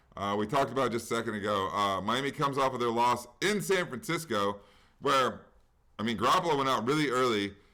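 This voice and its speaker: Talking at a very fast pace, a man with a medium pitch keeps his loudness very even while his intonation stays lively and his tone is bright and sharp. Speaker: sports betting podcast host. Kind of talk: casual sports chat. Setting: at home.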